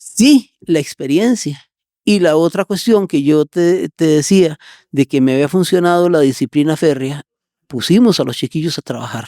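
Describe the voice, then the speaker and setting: At a fairly slow pace, a man with a fairly high pitch speaks with ordinary pitch variation in a dry, close sound with no echo. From Costa Rica, San José south barrios. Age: 60s. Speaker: business owner. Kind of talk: interview. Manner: energetic.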